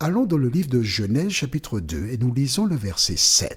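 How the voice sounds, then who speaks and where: There is vocal fry in this man's medium-pitched voice. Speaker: bible teacher. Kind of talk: bible teaching. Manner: slow, deliberate; pauses often.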